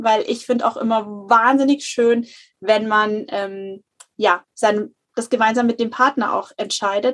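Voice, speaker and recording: A woman speaks in a fairly high pitch. Hers is an unremarkable speaking voice. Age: 30s. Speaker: natural family planning counselor. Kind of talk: interview.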